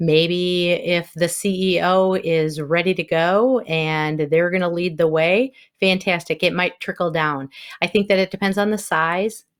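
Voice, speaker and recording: This woman speaks fairly slowly in a fairly low pitch, with fairly even intonation and a Wisconsin accent. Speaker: inclusion consultant and former school counselor. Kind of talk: podcast interview.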